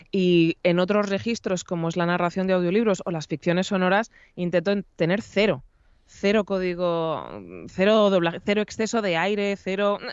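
At a moderate pace and with fairly even intonation, the voice sounds dry with no echo over a quiet background. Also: woman. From Spain, Madrid region. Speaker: voice actress and announcer; voice actress guest. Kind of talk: interview. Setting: video call. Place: home room. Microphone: studio mic.

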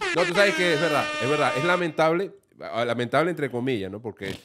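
Pitch swings very widely at a fairly quick pace. The background is quiet. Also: man. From Venezuela. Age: 50s. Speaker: radio and TV comedian; radio, TV comedian. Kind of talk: casual interview chat. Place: studio. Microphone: studio mic.

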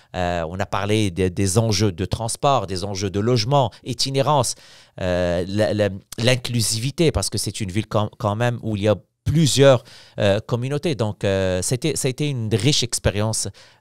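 In a normal speaking voice, a man talks at a fairly low pitch and moderate pace with ordinary pitch variation, in a dry sound with no echo against a quiet background. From Morocco. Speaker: opposition member of parliament; politician guest. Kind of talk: casual interview. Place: studio. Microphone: studio mic.

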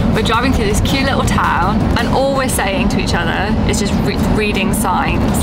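There is music in the background. Over it, a woman speaks at a moderate pace. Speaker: travel vlogger. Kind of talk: casual vlog chat. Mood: cheerful, amused. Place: car. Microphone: phone near.

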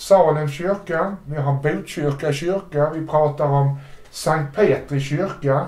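A man speaks with fairly even intonation, and audible echo fills the room. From Sweden, Malmö; Sweden. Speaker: interviewer. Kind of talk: interview. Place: home room.

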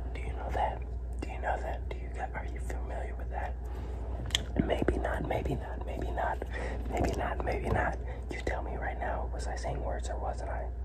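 Over loud background noise, a soft-spoken man with a very deep, low pitch talks in a relaxed tone at a moderate pace. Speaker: ASMR creator. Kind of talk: ASMR whispered talk to camera. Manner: soft, relaxed.

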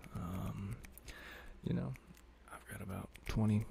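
A man speaks soft-spoken and in a relaxed tone, his pitch very deep and low. Light background noise is present. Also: dry sound with no echo. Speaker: ASMR creator. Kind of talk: casual talk to camera. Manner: soft-spoken, relaxed, sleepy. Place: home room. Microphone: studio mic.

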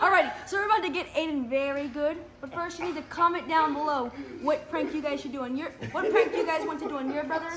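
With noticeable background noise behind her, a woman talks very fast in a high voice with ordinary pitch variation. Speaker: prank vlogger. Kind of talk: casual vlog chat. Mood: playful, mock scared. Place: home room. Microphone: phone near.

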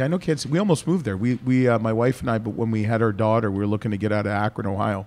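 This man talks at a very fast pace with hardly any pauses. His pitch varies in an ordinary way. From Canada. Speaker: podcast host. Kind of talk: casual chat. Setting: winery. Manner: animated. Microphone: studio mic.

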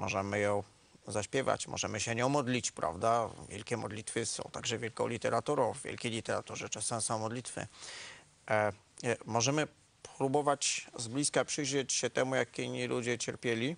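Vocal fry, fairly even intonation and a moderate pace, with a dry sound and no echo. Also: man. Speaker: interview guest, teacher of literature. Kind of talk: interview answer. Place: studio. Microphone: lapel.

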